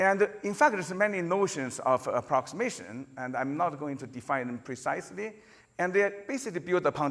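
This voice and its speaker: A man with a non-native accent, fairly quick pace and very wide pitch swings. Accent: noticeable non-native. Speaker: computer science professor. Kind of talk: conference lecture. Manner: halting, with frequent fillers and repetitions.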